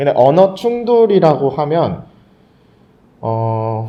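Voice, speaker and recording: A man talks at a fairly high pitch in a dark, mellow tone. His pitch swings very widely. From Korean family abroad, Thailand from age 11. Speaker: podcast guest. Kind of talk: casual chat.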